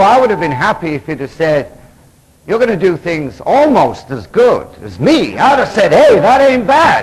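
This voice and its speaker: A man's high-pitched voice moves at a moderate pace with very wide pitch swings. Noticeable background noise runs underneath. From England. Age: 40s. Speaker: Episcopal priest and recovery speaker. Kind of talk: conference lecture. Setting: stage with audience. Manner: animated. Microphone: analog recording, poor quality.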